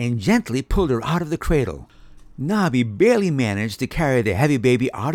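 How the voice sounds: Reading in a natural voice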